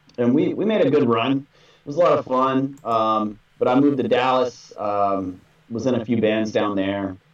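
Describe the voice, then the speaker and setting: A man with an American accent has a plain, everyday voice at medium pitch, speaking at a moderate pace with ordinary pitch variation. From North Texas. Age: 30s. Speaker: metal band vocalist. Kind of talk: casual interview chat.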